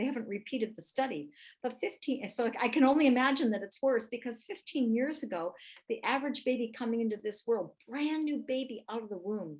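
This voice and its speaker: Her intonation is lively. The woman's voice sits at a high pitch. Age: 60s. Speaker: health expert and author. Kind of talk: live webinar product training.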